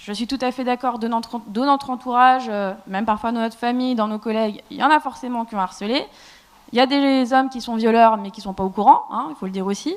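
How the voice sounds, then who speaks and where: A woman's fairly high voice at a very fast pace, with ordinary pitch variation and big swings in loudness. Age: 20s. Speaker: debate panelist. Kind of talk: panel debate. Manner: emphatic.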